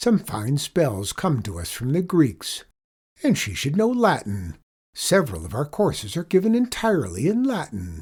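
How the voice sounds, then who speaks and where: In a put-on character voice, a man speaks at a fairly high pitch and a moderate pace on a very clean recording with a silent background. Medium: read story. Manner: formal, precise.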